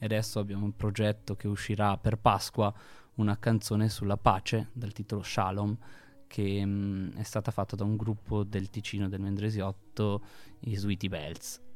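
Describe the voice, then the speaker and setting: In a very clean recording with a silent background, a man with fairly low pitch talks at a moderate pace in a monotone, flat intonation. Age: 30s. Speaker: charity founder. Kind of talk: interview. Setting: studio.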